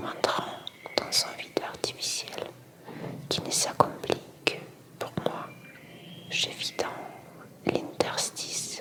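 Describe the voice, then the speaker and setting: The speaker whispers at a very slow pace, with big swings in loudness, long, frequent pauses and noticeable background noise. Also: woman. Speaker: ASMR reader. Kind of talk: reading aloud. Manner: soft-spoken.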